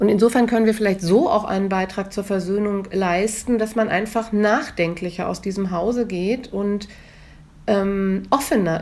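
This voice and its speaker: At a moderate pace and with fairly even intonation, a woman talks in an unremarkable speaking voice. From northern Germany, near Hamburg. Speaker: museum director and historian. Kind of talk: interview. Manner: formal.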